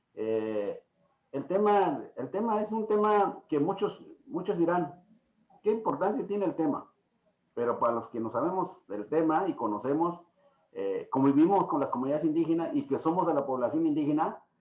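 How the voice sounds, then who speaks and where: A man's high-pitched voice in an Oaxacan accent, with very wide pitch swings at a moderate pace. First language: Triqui (speaking Spanish). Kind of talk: lecture. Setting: video call. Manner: halting.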